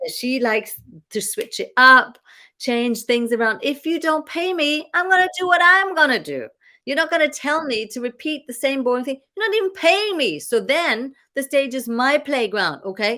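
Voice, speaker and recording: A woman speaks with an animated tone, a raised, projected voice and high pitch. Her bright, sharp tone moves at a moderate pace with very wide pitch swings. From Germany. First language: German. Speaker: business coach and former singer. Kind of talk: casual chat.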